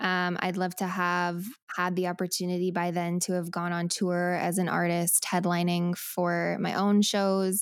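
With an American accent and a normal speaking voice, a woman talks at a fairly slow pace and medium pitch in a very clean recording with a silent background. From Colorado. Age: 20s. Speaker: singer-songwriter. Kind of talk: casual chat.

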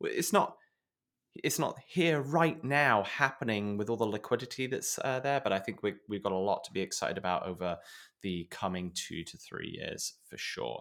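Lively intonation marks this man's speech. He has a British accent and a medium pitch. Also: moderate pace. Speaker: podcast co-host. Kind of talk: casual chat, news recap.

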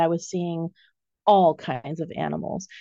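Against a quiet background, a woman with an American accent speaks at a fairly slow pace and a fairly low pitch, the sound dry and close with no echo. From raised overseas, US family. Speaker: animal soul reader and artist. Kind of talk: interview conversation.

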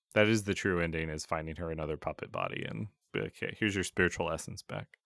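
A man with a very deep, low voice and vocal fry speaks at a very fast pace, his bright, sharp tone and lively intonation coming through in a dry, close sound with no echo. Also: long, frequent pauses, very clean recording, silent background. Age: adult. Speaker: video game podcast host. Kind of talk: casual chat.

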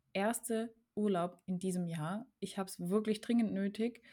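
In a dark, mellow tone, a woman speaks at a fairly slow pace and medium pitch with ordinary pitch variation, on a very clean recording with a silent background. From German region bordering France. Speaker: podcast host, horse owner. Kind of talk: casual chat.

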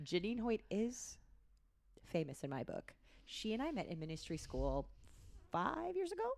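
Animated in tone, a woman keeps a moderate pace broken by long, frequent pauses. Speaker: podcast host and dream interpreter. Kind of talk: casual faith interview.

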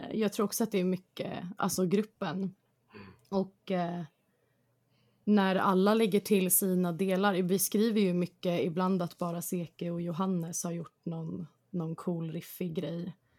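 Medium-pitched speech from a woman, fairly slow, with monotone, flat intonation. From Stockholm suburbs, Sweden. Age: 20s. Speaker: band singer. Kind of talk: interview.

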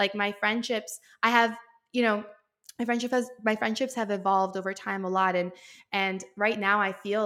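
A woman speaks at a moderate pace with a bright, sharp tone. The recording is very clean, with a silent background. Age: 30s. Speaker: entrepreneur and fitness content creator. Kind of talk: casual chat.

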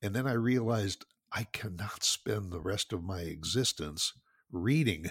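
A somewhat breathy voice speaks at a fairly slow pace with ordinary pitch variation, the sound dry and close with no echo. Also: man, fairly low pitch for a man. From Northwest Indiana, near Chicago. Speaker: retired businessman and podcast host. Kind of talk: interview.

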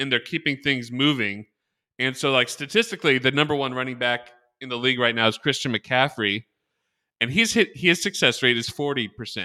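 A man speaks at a fairly quick pace in a bright, sharp tone, with ordinary pitch variation and a dry, close sound that has no echo. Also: medium pitch for a man, very clean recording, silent background. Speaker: podcast host. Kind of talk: casual sports chat. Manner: loud, excited.

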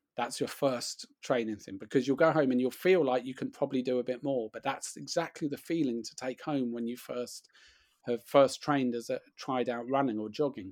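A man with an unremarkable speaking voice talks at a moderate pace and medium pitch, his intonation fairly even, on a very clean recording with a silent background. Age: 40s. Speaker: running writer and author. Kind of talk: casual chat.

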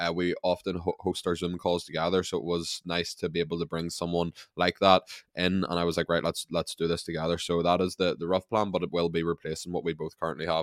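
Monotone, flat intonation runs at a very fast pace on a very clean recording with a silent background and a dry, close sound with no echo. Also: man, very deep, low pitch for a man. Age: 20s. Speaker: personal trainer and fitness content creator. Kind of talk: casual interview chat.

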